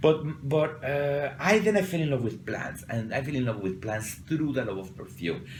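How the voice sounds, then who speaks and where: A man with a Mexican accent speaks at a moderate pace with hardly any pauses, his fairly high voice swinging very widely in pitch amid audible room echo. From Mexico City. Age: 40s. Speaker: perfumer. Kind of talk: interview. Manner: halting.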